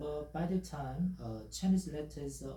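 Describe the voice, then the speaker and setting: At a fairly slow pace, a man with a Korean accent speaks amid audible room echo. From South Korea. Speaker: language teacher. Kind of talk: tutorial. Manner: halting, many fillers.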